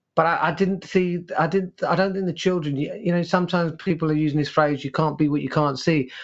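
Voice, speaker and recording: Speaking at a fairly quick pace, a man with a London accent has a fairly high pitch. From East London, England. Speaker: headteacher and author. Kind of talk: interview conversation. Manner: halting, many repetitions and fillers; passionate, animated.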